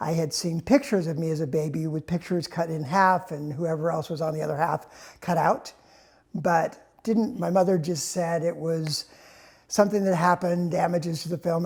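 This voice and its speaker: Speaking with an American accent, a man talks at a fairly quick pace and high pitch with ordinary pitch variation. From United States. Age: 60s. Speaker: interviewee sharing life story. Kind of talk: personal testimony. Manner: halting, with fillers and repeats.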